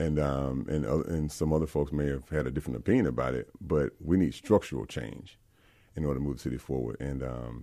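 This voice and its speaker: A man talks at a fairly quick pace in a Mississippi accent. His very deep, low voice carries a dark, mellow tone. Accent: Southern US (Mississippi). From US South, Mississippi (South Jackson). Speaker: politician, Marine veteran. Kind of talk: radio interview. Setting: studio. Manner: animated.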